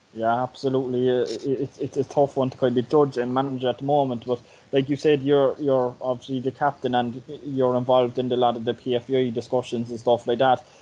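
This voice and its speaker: In a Cork accent, a man talks at a fairly quick pace. His intonation stays monotone and flat. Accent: Cork Irish. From Ireland. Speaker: podcast host. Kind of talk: casual interview. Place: home room. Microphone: video call.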